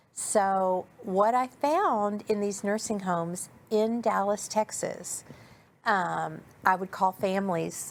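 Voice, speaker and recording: Medium in pitch with ordinary variation, a woman talks with an American accent. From New Orleans, US South. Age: 60s. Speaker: nonprofit director and nurse. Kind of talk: interview. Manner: hesitant, with many fillers.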